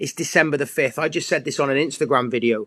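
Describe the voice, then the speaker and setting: A man talks at a fairly quick pace with an English accent and a fairly high pitch. The sound is dry and close, with no echo. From England. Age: 40s. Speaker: fitness coach. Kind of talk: casual livestream monologue.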